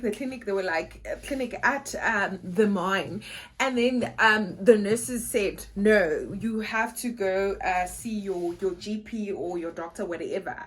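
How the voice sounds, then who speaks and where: In a South African accent, a woman speaks at a fairly slow pace with a somewhat breathy voice. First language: Xhosa. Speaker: vlogger. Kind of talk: casual vlog talk.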